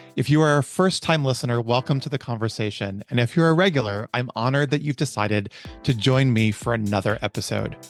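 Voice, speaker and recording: With music in the background, a man talks at a very fast pace with ordinary pitch variation, the sound dry and close with no echo. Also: medium pitch for a man. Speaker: podcast host. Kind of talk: podcast intro.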